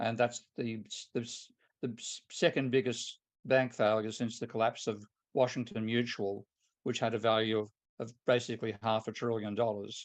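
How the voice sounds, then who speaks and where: A man speaks at a moderate pace and medium pitch, with flat, monotone intonation. He pauses long and often over a quiet background. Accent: Australian. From Australia. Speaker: economist. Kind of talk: lecture.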